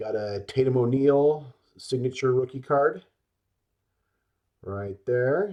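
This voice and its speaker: A man speaks very slowly at medium pitch with ordinary pitch variation. The background is quiet. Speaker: sports card collector. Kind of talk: casual show-and-tell video. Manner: slurs words sometimes.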